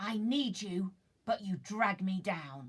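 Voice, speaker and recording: A woman in a put-on character voice, growling and hissing, medium pitch, fairly slow pace. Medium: read story.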